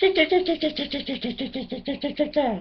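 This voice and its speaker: A man puts on a character voice, pitched extremely high, and talks at a fairly quick clip. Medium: read story. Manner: chattering, birdlike noises.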